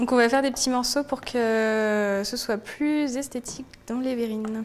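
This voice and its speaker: With a high pitch and fairly even intonation, a woman speaks at a fairly slow pace. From France, Lyon. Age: 20s. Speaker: food blogger. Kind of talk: cooking tutorial. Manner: hesitant, frequent fillers and repetitions.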